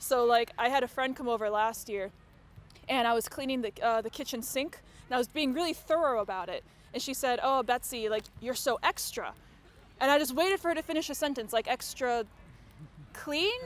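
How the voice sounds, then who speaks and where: With an American accent, a woman speaks at a high pitch and a fairly quick pace, using ordinary pitch variation. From United States. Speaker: comedy MC. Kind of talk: stand-up. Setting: outdoor stage with audience.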